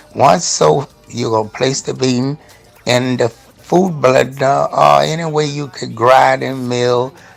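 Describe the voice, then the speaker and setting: A man at a very slow pace with ordinary pitch variation, music in the background. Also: medium pitch for a man. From Nigeria, half Spanish. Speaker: show host. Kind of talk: cooking tutorial on a talk show. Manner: casual, repetitive.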